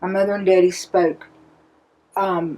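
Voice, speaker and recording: With a North Carolina Piedmont accent, a woman speaks at a fairly low pitch. She keeps a fairly slow pace. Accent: Southern US, North Carolina Piedmont. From North Carolina, Davidson County. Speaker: interviewee. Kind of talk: interview answers.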